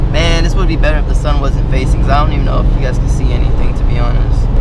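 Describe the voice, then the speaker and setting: Very fast speech with loud background noise and a dry sound with no echo. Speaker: car vlogger. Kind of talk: casual vlog chat. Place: car. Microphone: phone near.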